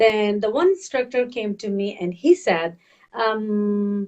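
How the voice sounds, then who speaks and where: In a Pakistani accent, a woman talks at a fairly high pitch. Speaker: health and fitness coach. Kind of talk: storytelling interview. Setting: webcast. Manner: animated.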